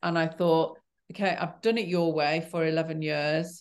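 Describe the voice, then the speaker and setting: Against a quiet background, a woman with a Yorkshire accent talks fairly slowly at a fairly low pitch. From Yorkshire, northern England. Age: 60s. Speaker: cancer survivor. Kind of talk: interview conversation. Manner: halting.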